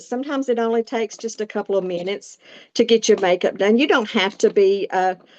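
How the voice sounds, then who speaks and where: A woman with a Southern US accent speaks fairly quickly at a fairly high pitch, with fairly even intonation and a dry, close sound with no echo. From US South, Appalachia. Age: 60s. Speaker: makeup demonstrator. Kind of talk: tutorial. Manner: hesitant, filler words.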